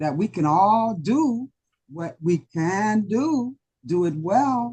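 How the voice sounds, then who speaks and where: A woman speaks in a fairly high, somewhat breathy voice with a dark, mellow tone. Her pitch swings very widely. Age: 70s. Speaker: club member giving impromptu answer. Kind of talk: impromptu speech. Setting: club meeting.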